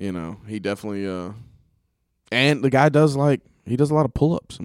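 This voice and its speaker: In a very clean recording with a silent background, a man with an American accent talks fairly quickly in a medium pitch, his tone animated and his intonation lively. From West Georgia, US (Carrollton). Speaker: podcast co-host, truck driver. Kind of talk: casual chat.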